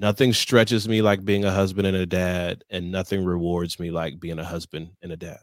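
A man with an American accent, very deep and low in pitch, fairly even in intonation, at a moderate pace. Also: hardly any pauses, big swings in loudness, very clean recording, silent background. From Michigan, Detroit area. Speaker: leadership consultant and author. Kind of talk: interview.

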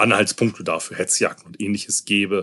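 With a bright, sharp tone, a man speaks at a moderate pace in a dry, close sound with no echo against a quiet background. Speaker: podcast host. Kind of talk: solo podcast monologue. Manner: sarcastic; hesitant, many fillers.

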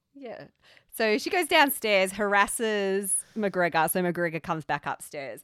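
In an Australian accent, a woman with a medium pitch speaks at a fairly slow pace with lively intonation and big swings in loudness, recorded very cleanly against a silent background with a dry, close sound and no echo. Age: 30s. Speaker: podcast host. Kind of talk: casual chat.

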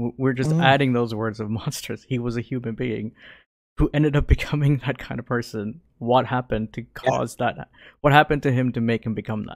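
Over a silent background in a very clean, dry, close recording with no echo, a man uses a plain, everyday voice at a medium pitch, with fairly even intonation and a fairly quick pace. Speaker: podcast co-host. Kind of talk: casual chat.

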